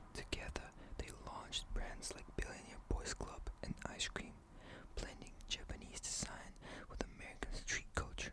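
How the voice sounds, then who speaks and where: Whispering at a moderate speed comes through noticeable background noise. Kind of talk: ASMR bedtime story narration. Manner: whispered.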